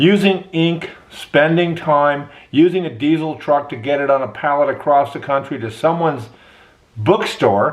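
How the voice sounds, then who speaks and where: A man speaks with a fairly high pitch and ordinary pitch variation. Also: fairly slow pace. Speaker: university professor and podcaster. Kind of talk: podcast monologue. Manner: slow-paced.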